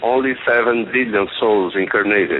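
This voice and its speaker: A man with a Brazilian accent speaks at a medium pitch and a very slow pace. Noticeable background noise runs under his voice. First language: Portuguese. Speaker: caller. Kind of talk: call-in question. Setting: phone call.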